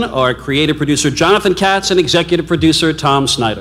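Against faint background noise, a man speaks at a fairly quick pace with lively intonation, a fairly high pitch and a fairly bright tone.

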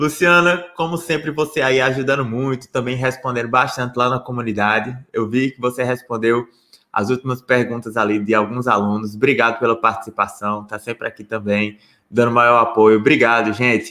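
A man's bright, sharp voice at medium pitch, with ordinary pitch variation and a moderate pace against a quiet background. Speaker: lawyer teaching social security law. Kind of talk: live online lecture. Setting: live stream with chat. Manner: relaxed, conversational. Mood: friendly, upbeat. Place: home room. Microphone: webcam.

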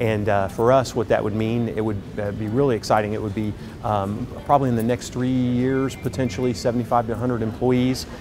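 Fairly even intonation at a moderate pace, with music in the background. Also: man. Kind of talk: interview answer. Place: hall. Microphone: lapel.

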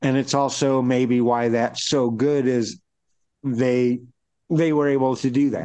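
In an American accent, a dark, mellow voice speaks at a fairly slow pace with monotone, flat intonation and very even loudness over a quiet background. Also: man, medium pitch for a man. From US Midwest, Chicago. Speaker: rock guitarist; podcast host. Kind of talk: casual chat. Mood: earnest, passionate. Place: home room. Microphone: phone near.

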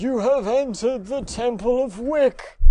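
This man uses a put-on character voice at an extremely high pitch. He speaks at a moderate pace. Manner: menacing, hissing.

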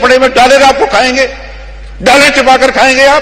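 Here a man talks. His pitch is extremely high. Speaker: politician. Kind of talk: political speech. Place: hall. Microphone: podium.

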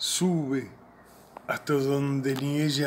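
Someone speaks at a very slow pace with light background noise behind them. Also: man. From Salta, northwestern Argentina; Argentina. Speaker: poet. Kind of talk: poetry reading. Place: garden.

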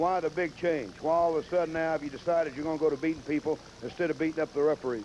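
A man's very fast speech at a fairly high pitch, fairly even in intonation, over light background noise. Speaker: wrestling interviewer. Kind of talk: wrestling interview segment. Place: studio. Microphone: handheld.

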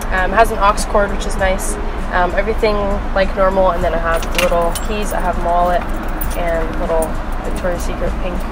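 Loud background noise around a woman's moderately paced voice. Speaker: car owner vlogger. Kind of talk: casual vlog tour. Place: car.

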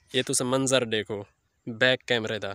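A man speaks at a fairly slow pace with a medium pitch and fairly even intonation. His tone is clear, smooth, bright and sharp.

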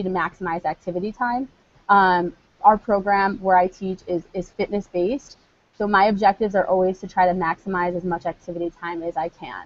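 A woman speaks at a fairly quick pace in an energetic tone, her loudness swinging widely while her pitch varies in an ordinary way. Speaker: PE teacher presenting on technology. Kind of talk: online conference presentation. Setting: live video broadcast with screen share. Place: classroom. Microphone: earbuds.

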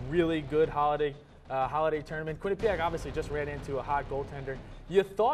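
Very fast male speech with ordinary pitch variation and music in the background. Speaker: studio analyst. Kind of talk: sports commentary. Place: studio. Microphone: lapel.

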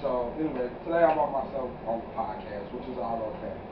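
Noticeable background noise sits under a man talking at a moderate speed. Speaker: podcast host. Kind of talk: casual vlog chat. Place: home room. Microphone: camera far.

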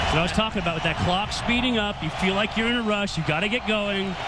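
A man's raised, projected voice at a high pitch and a very fast pace, with ordinary pitch variation and noticeable background noise. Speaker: color commentator, former player. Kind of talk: live sports commentary, analysis between plays. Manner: conversational, analytical, emphatic.

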